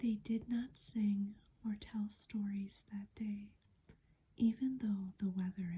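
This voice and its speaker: A soft-spoken voice with a calm tone. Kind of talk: soft-spoken ASMR book reading. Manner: soft-spoken, calm.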